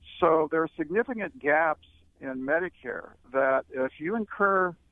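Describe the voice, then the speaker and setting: It is a normal speaking voice with ordinary pitch variation. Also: man. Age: 60s. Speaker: retirement author and company president. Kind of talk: radio interview. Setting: radio studio.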